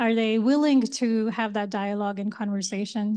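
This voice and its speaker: Over a quiet background, a woman speaks at a moderate pace in a fairly high voice. Her tone is dark and mellow, her intonation fairly even. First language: Hindi, Urdu or Gujarati. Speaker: community mental health worker, panelist. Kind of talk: panel discussion.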